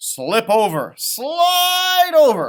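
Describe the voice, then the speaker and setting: The voice is a put-on character. It sits high in pitch. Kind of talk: children's picture book read-aloud. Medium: read story. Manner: short rhyming calls.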